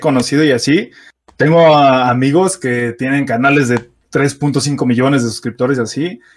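The speaker has a Mexico City accent. Delivery is fairly slow with ordinary pitch variation. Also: man. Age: 20s. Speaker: car content creator. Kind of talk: casual chat.

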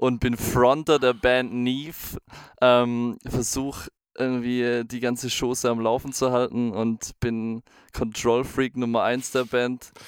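A man's very slow, monotone, flat delivery, dry and close with no echo, in a very clean recording with a silent background. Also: medium pitch for a man. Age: 20s. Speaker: podcast co-host, band frontman and music school teacher. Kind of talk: casual chat.

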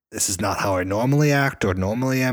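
In a very clean recording with a silent background, a man speaks at a moderate pace with ordinary pitch variation in a plain, everyday voice. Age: 20s. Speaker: podcast co-host. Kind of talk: casual chat.

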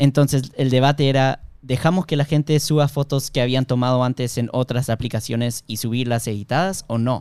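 On a very clean recording with a silent background and a dry, close sound with no echo, a medium-pitched man speaks at a moderate pace with fairly even intonation and hardly any pauses. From Miami, US, Peruvian-Bolivian family. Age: 20s. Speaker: software engineer and product manager. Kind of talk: casual interview.

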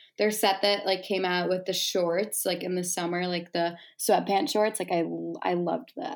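A woman with an American accent and an ordinary speaking voice talks at a moderate pace with hardly any pauses, medium pitch and fairly even intonation. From Chicago suburbs, US Midwest. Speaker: college student and micro-influencer. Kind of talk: casual chat.

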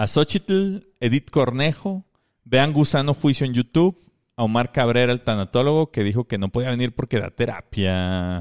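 A man with a Mexican accent speaks at a moderate pace in a medium pitch, his intonation lively, the sound dry and close with no echo on a very clean recording with a silent background. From Mexico. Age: 30s. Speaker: podcast co-host. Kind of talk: casual comedic chat.

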